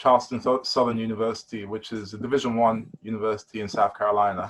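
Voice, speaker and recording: A man's medium-pitched voice with a British accent, monotone and flat, at a very fast pace. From London, East London. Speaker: basketball player. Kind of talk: casual interview.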